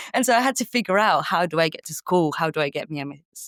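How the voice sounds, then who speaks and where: A woman with a Spanish accent at a very fast pace, with very wide pitch swings, a dry, close sound with no echo, and a very clean recording with a silent background. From Spain. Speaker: sales coach. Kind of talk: podcast interview.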